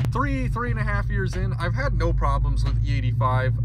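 A man speaks at a moderate pace over loud background noise, the sound dry with no echo. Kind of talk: casual vlog chat. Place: car. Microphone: phone near.

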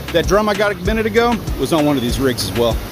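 Over music in the background, a man speaks at a very fast pace, his pitch swinging very widely. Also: dry sound with no echo. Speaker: fishing vlogger. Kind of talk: casual vlog tutorial. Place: beach. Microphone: phone near.

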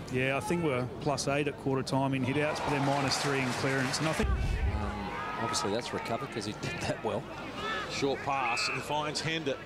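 Against noticeable background noise, a man speaks in a fairly high pitch. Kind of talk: live sports commentary. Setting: stadium broadcast, outdoors in rain. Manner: excitable, punchy delivery.

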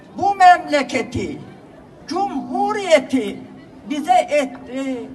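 Crowd noise fills the background while a woman speaks at a very slow pace with very wide pitch swings. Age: 80s+. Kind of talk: poetry reading. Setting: public ceremony at a podium.

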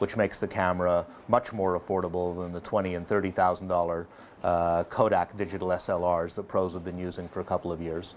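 A man talks at a very deep, low pitch with monotone, flat intonation. His pace is moderate, with light background noise. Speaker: photography reviewer. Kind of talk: presenter commentary. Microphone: lapel.

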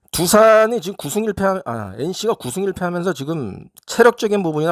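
A man talks at a moderate pace with very wide pitch swings. The recording is very clean with a silent background, and the sound is dry and close with no echo. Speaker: sports betting tipster. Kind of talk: solo sports betting preview. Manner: casual, hesitant with fillers.

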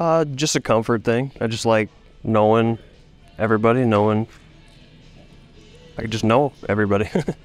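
Faint music plays behind a man who speaks at a moderate pace with fairly even intonation and long, frequent pauses, his voice dry with no echo. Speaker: professional baseball player. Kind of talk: interview answer. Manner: soft-spoken. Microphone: handheld.

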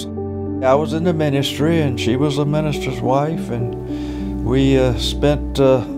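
Over loud background music, someone speaks at a very slow pace with an American accent. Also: man. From Virginia. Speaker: retired minister. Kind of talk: interview answer. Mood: content, relaxed. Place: home room.

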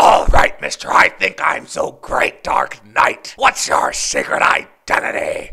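Using a put-on character voice, a man speaks raspily at an extremely high pitch, keeping a fairly slow pace with hardly any pauses. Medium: cartoon. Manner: mocking, sarcastic.

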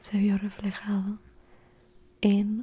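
A woman, soft-spoken. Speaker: ASMR creator. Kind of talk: soft-spoken ASMR roleplay and bedtime story. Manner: soft-spoken, hushed storytelling voice. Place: home room. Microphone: studio mic.

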